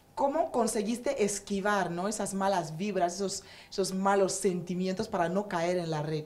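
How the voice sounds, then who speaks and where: A woman speaks at a medium pitch with ordinary variation. Noticeable background noise is present. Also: moderate pace. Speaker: talk show host. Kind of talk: casual chat.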